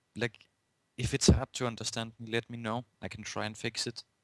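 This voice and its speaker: A man with a Danish accent is heard in a dry, close sound with no echo. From Denmark. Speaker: podcast co-host. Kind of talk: casual podcast chat.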